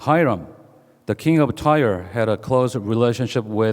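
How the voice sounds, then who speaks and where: A man with a Korean accent speaks at a medium pitch. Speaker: pastor. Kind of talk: sermon. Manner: halting, with many fillers.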